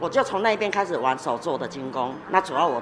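A woman talks at a fairly quick pace with very wide pitch swings. Noticeable background noise runs behind her. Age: 50s. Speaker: metalwork craft teacher. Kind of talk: interview. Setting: workshop studio.

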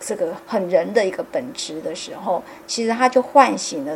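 A woman's medium-pitched voice with very wide pitch swings over noticeable background noise. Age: 50s. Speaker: podcast host. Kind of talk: casual chat.

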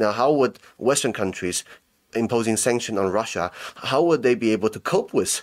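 A man speaks at a moderate pace with a medium pitch and ordinary pitch variation. It is a normal speaking voice. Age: young. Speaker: podcaster and commentator on international news. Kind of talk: casual chat.

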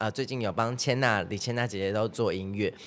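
At a fairly quick pace, a man talks at medium pitch with ordinary pitch variation in a very clean recording with a silent background. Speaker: singer and dancer. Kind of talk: casual chat.

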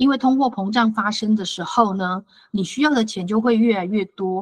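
A woman speaks at a moderate pace with a fairly high pitch, ordinary pitch variation and a somewhat breathy quality. The sound is dry and close with no echo. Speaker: financial advisor. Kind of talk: lecture. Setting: online talk.

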